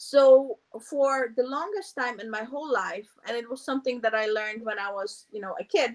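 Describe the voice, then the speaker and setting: Speaking at a fairly slow pace with a Polish accent, a woman uses a high pitch with ordinary pitch variation. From Poland. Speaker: meditation teacher. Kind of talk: casual interview. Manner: halting, many fillers.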